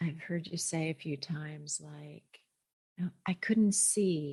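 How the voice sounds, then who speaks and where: Somewhat breathy speech at a very slow pace. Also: woman. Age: 60s. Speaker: listener. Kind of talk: testimony.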